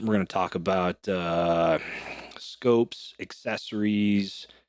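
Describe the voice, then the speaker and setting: Fairly even intonation runs through a very clean recording with a silent background. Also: man. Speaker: podcast host, long-range shooting coach. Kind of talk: solo podcast tutorial. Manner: fast; casual with many filler words.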